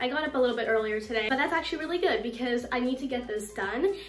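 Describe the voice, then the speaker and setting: The speaker talks at a very fast pace with lively intonation. Audible room echo and light background noise surround the voice. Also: woman, high pitch for a woman. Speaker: cleaning vlogger. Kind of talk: casual vlog chat. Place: bathroom. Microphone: phone near.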